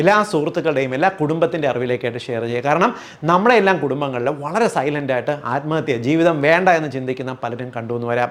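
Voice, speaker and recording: Noticeable background noise runs under a man speaking in a fairly high pitch with ordinary pitch variation. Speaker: homeopathic doctor. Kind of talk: educational health talk to camera.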